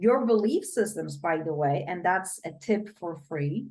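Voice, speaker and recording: A woman speaks with a Polish accent. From Poland. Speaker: brain coach. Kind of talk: interview.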